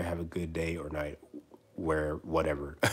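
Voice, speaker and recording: The speaker is a man. Noticeable background noise runs under his voice. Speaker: streamer. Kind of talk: casual chat. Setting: live stream. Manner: halting.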